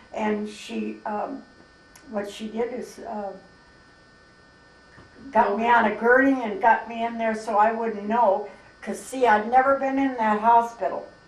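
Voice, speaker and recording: A woman with an American accent speaks at a fairly slow pace in a fairly high pitch, her flat, monotone intonation broken by long, frequent pauses and big swings in loudness over noticeable background noise. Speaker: grandmother, mother of eight. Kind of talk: interview answer. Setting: camera microphone, home recording.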